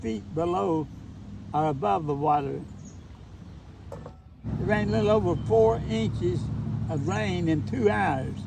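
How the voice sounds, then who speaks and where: In an Appalachian accent, a man speaks at a fairly slow pace with very wide pitch swings and audible room echo. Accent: Appalachian Kentucky. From eastern Kentucky, Letcher County. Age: 80s+. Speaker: retired teacher. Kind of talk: casual chat. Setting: outdoors.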